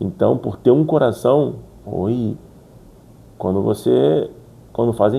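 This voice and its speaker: This man has a fairly low voice with vocal fry. His pitch swings very widely. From Brazil. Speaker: YouTuber who stutters. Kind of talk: motivational talk to camera. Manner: repetitions and fillers.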